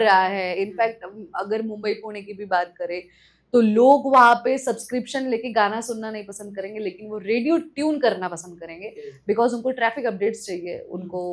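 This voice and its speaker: A woman's fairly high-pitched voice, an ordinary speaking voice, with ordinary pitch variation and big swings in loudness. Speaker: radio jockey. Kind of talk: podcast guest conversation.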